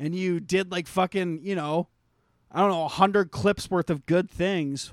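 Over a very clean recording with a silent background and a dry, close sound with no echo, a man speaks in an animated tone at a high pitch. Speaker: podcast host. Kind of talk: casual comedic banter.

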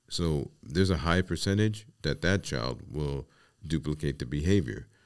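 A man with a New York accent speaks at a moderate pace in a very deep, low pitch, his intonation lively. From New York City, the Bronx. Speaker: podcast host and life coach. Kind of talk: solo podcast monologue.

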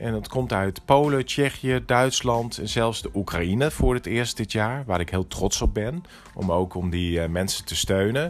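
Using a normal speaking voice, a man with a fairly low pitch talks at a fairly slow pace with lively intonation and hardly any pauses. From Netherlands, Groningen. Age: 50s. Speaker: entrepreneur, interior shop owner. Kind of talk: interview.

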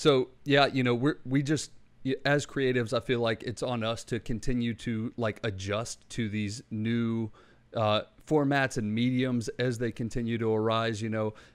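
A man with an American accent and an unremarkable speaking voice, medium pitch, fairly even intonation and moderate pace, in a quiet background. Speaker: podcast host. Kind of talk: casual chat, interview.

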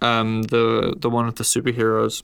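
In a very clean recording with a silent background, a man with an Australian accent talks very slowly at a medium pitch. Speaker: podcast host. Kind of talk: casual chat.

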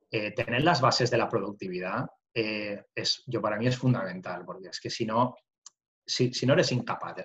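Speaking at a medium pitch, a man keeps ordinary pitch variation. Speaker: construction business owner. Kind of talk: interview conversation.

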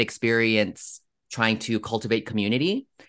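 A man talks at a moderate pace in a normal speaking voice, medium in pitch, with a quiet background. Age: 30s. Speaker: social media comedian. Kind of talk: casual chat.

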